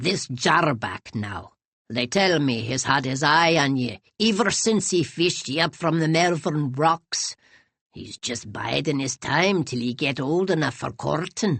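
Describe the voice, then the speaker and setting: Putting on a character voice with an Irish accent, the speaker uses a middle pitch and a fairly slow pace. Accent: Irish brogue. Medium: read story. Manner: wheedling, gossipy.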